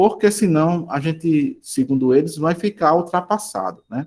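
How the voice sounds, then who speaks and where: Speaking at a fairly slow pace with a northeastern Brazilian accent, a man shows ordinary pitch variation. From Brazilian Northeast. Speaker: school teacher. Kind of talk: online class lecture. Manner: halting, many fillers.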